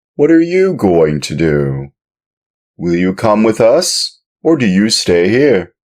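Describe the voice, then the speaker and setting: A man performs a put-on character voice with a fairly low pitch. He talks at a fairly slow pace, swinging very widely in pitch. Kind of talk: audiobook reading.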